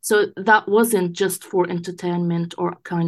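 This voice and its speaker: A woman with an Arabic accent talks at a moderate pace with fairly low pitch. The background is quiet. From Gaza, Palestine. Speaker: English teacher. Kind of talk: interview.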